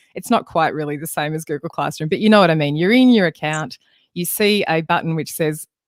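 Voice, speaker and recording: A woman with a very deep, low pitch and an Australian accent, fairly quick pace, ordinary pitch variation, dry sound with no echo, and a quiet background. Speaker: music education trainer. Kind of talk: webinar tutorial. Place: home room. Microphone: studio mic.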